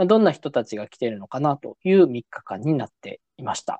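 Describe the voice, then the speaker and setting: A man's fairly high voice with very wide pitch swings, at a moderate pace, dry and close with no echo over a quiet background. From Japan, Nagasaki. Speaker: podcast host. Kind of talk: casual chat. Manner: halting, many fillers.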